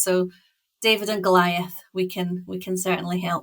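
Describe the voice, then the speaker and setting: A woman's bright, sharp voice in a Scottish accent, with monotone, flat intonation. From Scotland, west coast island. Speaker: packaging consultant. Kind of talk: podcast interview.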